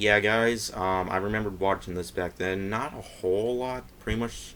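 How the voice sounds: Ordinary pitch variation and a fairly bright tone mark this man's speech.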